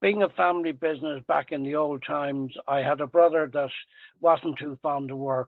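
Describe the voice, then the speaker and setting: A man speaks with a Dublin accent at a moderate pace. His pitch is fairly high and his intonation fairly even. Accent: Irish (Dublin). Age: 80s+. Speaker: retired tradesman and salesman. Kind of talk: podcast interview. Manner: halting.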